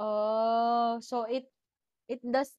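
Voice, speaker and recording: A woman's fairly high voice with a Filipino accent, dry and close with no echo. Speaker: podcast host. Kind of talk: casual interview chat. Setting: indoors at home.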